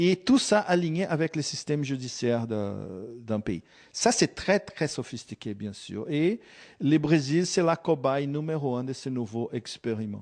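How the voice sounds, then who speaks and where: Over a quiet background, a man with a Brazilian accent talks fairly slowly in a fairly high voice with lively intonation. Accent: non-native French, Brazilian. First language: Portuguese (speaking French). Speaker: geopolitical analyst. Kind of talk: interview. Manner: halting, many hesitations.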